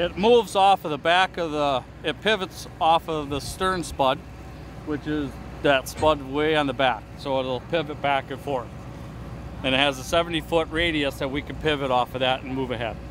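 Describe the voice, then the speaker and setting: Dry with no echo, the speech moves at a moderate pace with ordinary pitch variation against noticeable background noise. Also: man. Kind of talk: explanation to camera. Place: boat.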